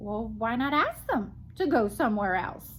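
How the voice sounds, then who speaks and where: A woman uses a raised, projected, put-on character voice, fairly high in pitch, at a moderate pace with clear background noise. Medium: read story. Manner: calm, matter-of-fact.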